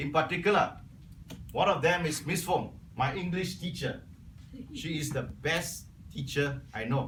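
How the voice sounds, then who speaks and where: A man speaks with a Cantonese accent at a fairly high pitch, using ordinary pitch variation and a fairly slow pace. Long, frequent pauses break up his speech, and audible room echo surrounds it. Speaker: Toastmasters club member. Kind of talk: prepared speech.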